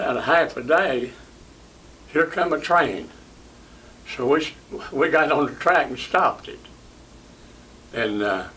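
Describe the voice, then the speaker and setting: A man with an East Tennessee accent speaks at a fairly slow pace in a fairly high pitch, with lively intonation, long and frequent pauses, and noticeable background noise. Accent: East Tennessee Southern US. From Knoxville, Tennessee. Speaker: WWII Army veteran. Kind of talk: interview answer.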